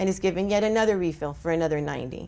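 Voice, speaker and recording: A very fast-talking woman with a fairly low pitch and ordinary pitch variation. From Colombia. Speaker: physician and addiction lecturer. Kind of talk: conference lecture. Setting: stage with audience.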